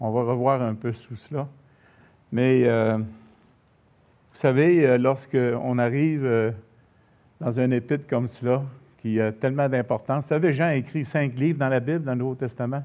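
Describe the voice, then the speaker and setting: With a Quebec accent, a man speaks at a moderate pace with fairly even intonation and long, frequent pauses. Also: medium pitch for a man. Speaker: pastor. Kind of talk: sermon.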